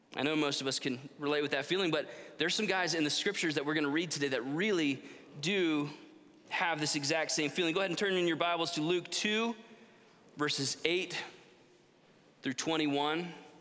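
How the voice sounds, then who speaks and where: A fairly high-pitched man at a fairly quick pace with long, frequent pauses, ordinary pitch variation and very even loudness, in audible room echo. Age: 30s. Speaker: pastor. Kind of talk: sermon.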